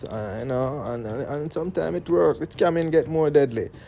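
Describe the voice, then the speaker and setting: With a Jamaican accent, a man talks at a moderate pace in a dark, mellow tone. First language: Jamaican Patois. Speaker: political commentator. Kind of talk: commentary monologue. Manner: mixes standard English and patois.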